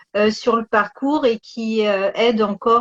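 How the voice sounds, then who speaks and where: Intonation stays fairly even as the speaker goes at a very slow pace. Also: woman. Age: 40s. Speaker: osteopath and singer. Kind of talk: casual interview. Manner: halting.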